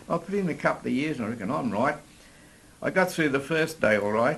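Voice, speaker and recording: Lively intonation from a man in an Australian accent. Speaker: older adventure sportsman. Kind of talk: interview storytelling. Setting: outdoors in a park.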